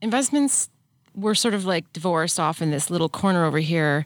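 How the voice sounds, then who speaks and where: A woman with an unremarkable speaking voice, fairly low pitch, lively intonation and a fairly quick pace. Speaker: investment executive. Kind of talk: interview.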